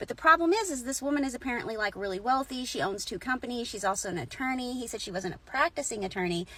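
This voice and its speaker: Talking at a very fast pace with hardly any pauses, a woman uses an animated tone and a high pitch. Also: lively intonation. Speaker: storyteller. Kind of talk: casual storytelling.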